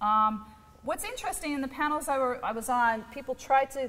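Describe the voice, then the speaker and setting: A woman with ordinary pitch variation over noticeable background noise. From New York. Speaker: academic researcher. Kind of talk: lecture. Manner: fast.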